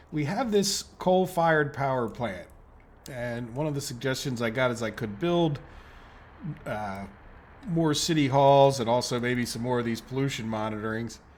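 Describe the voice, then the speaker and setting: With an American accent, a man talks at a moderate pace and medium pitch. His intonation is lively, and audible room echo surrounds him. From United States. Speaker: gaming YouTuber. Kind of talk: let's play commentary. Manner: casual, thinking aloud.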